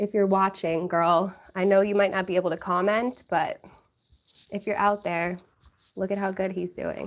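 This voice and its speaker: Speaking with a New York accent, a woman uses monotone, flat intonation and leaves long, frequent pauses. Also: medium pitch for a woman, moderate pace. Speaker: YouTuber. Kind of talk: livestream chat with viewers.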